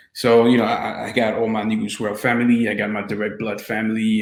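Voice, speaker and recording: Room echo is audible as a man speaks at a medium pitch. His intonation stays monotone and flat. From France (Paris), Haitian descent. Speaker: filmmaker and interviewer. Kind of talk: casual interview.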